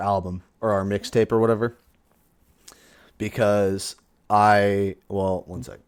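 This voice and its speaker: On a very clean recording with a silent background, a man speaks at a fairly slow pace and fairly low pitch with fairly even intonation. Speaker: podcast co-host and amateur rapper. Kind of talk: casual chat. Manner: monotone.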